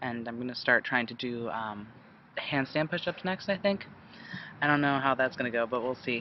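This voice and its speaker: He speaks at a moderate pace with a medium pitch. The man's pitch variation is ordinary. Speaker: video blogger. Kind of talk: casual vlog update. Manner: hesitant, many fillers.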